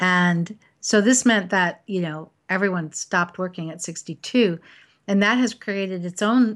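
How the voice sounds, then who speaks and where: A woman with an ordinary speaking voice is heard in a very clean recording with a silent background. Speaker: podcast co-host. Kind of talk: casual conversational interview.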